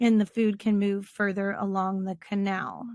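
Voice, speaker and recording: The voice belongs to a woman and is somewhat breathy. The sound is dry and close, with no echo. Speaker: teacher. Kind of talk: lecture.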